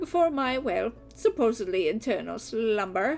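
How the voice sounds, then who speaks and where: A woman puts on a character voice at a fairly high pitch. Clear music plays in the background. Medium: game stream. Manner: polite, old-fashioned, gentle.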